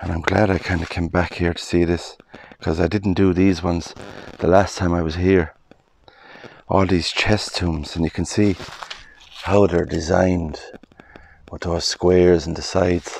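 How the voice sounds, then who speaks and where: In a dry recording with no echo and light background noise, a man with a very deep, low voice speaks flat and monotone at a moderate pace, taking long, frequent pauses. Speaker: explorer vlogger. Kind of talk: casual vlog commentary. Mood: calm, admiring. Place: open country. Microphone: phone near.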